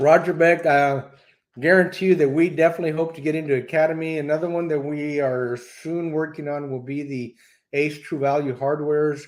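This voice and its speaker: Speaking at a fairly quick pace in a Texan accent, a man uses a fairly high pitch and fairly even intonation. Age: 60s. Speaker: BBQ cooking YouTuber. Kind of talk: live stream Q&A. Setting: live stream.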